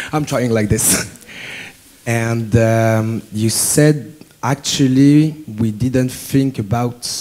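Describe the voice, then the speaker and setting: Noticeable background noise accompanies a man who talks at a very slow pace. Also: medium pitch for a man, fairly even intonation. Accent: French. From France. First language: French. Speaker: student asking a question. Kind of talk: audience question. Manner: halting.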